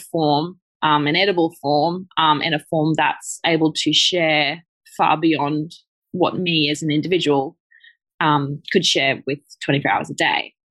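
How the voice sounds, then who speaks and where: A fairly slow, monotone, flat delivery with an Australian accent in a dry, close sound with no echo. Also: woman. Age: 30s. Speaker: chocolate business founder. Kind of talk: casual interview chat.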